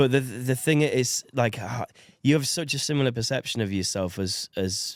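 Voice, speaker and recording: On a very clean recording with a silent background, a man with an American accent and a plain, everyday voice talks at a moderate pace with lively intonation. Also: dry, close sound with no echo. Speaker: podcast host. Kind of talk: casual chat.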